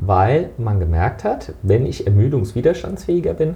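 A man's voice with very wide pitch swings, a moderate pace and noticeable background noise. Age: 40s. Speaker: fitness trainer and sports economist. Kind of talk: interview.

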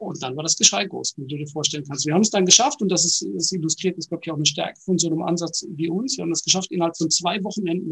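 A man speaks at a high pitch with ordinary variation. The sound is dry and close, with no echo. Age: 40s. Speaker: innovation company executive. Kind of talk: interview. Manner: halting, many fillers.

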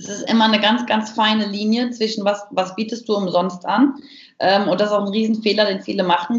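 A woman's fairly high, unremarkable speaking voice at a moderate pace with ordinary pitch variation. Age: 30s. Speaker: business coach and speaker. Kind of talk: interview. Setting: video call.

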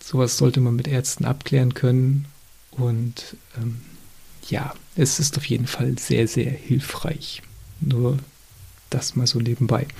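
Here a man speaks at a medium pitch with fairly even intonation. His pace is very slow, with long, frequent pauses. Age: 30s. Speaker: podcast host, chronic illness patient. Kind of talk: solo monologue. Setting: home recording at laptop.

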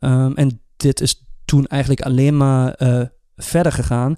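In a German accent, a man speaks with a dark, mellow tone and fairly even intonation. The sound is dry and close with no echo. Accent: German-accented Dutch. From Germany. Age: 30s. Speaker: podcast co-host. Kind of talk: casual chat. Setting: studio.

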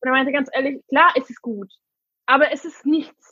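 Raising and projecting her voice, a woman talks at a moderate pace, high in pitch and bright and sharp in tone. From Hungary. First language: Hungarian and English (speaking German). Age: 20s. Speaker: vegan interviewee. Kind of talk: casual chat. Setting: video call.

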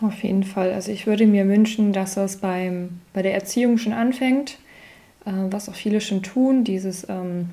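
The woman's intonation stays fairly even, with a medium pitch and a moderate tempo. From Mosel, Rhineland-Palatinate. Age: 30s. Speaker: virtual assistant, podcast co-host. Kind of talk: casual interview chat.

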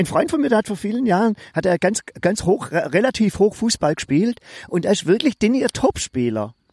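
Recorded very cleanly against a silent background, a man speaks at a moderate pace. The sound is dry and close, with no echo. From Swabia. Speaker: podcast co-host. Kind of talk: casual chat.

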